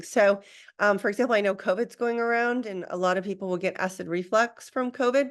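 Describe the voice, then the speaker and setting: A woman uses an ordinary speaking voice at a medium pitch and a fairly quick pace. Her pitch varies in an ordinary way, over a quiet background. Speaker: Ayurveda practitioner. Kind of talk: lecture.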